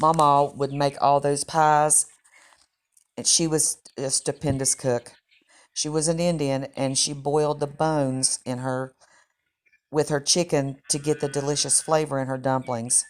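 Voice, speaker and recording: A woman speaks with an Appalachian accent in a very deep, low pitch, her intonation monotone and flat. Her pace is fairly slow, broken by long, frequent pauses. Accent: Appalachian Southern US. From West Virginia, Clay County (Appalachia). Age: 60s. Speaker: cooking channel host and storyteller. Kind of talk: personal storytelling.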